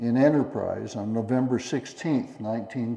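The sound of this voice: With ordinary pitch variation, the voice is an unforced reading voice.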